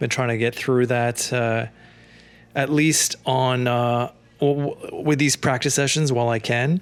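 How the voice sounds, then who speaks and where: At a fairly slow pace, a man speaks in a normal speaking voice with a medium pitch and fairly even intonation. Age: middle-aged. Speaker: amateur tennis player. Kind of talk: casual commentary over own gameplay footage. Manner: relaxed, conversational, many fillers.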